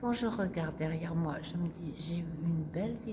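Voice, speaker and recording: A woman with a fairly low pitch speaks at a moderate pace with lively intonation, amid audible room echo and noticeable background noise. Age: 70s. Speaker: silk painter, artist. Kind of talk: interview, personal reminiscence. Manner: hesitant, many fillers.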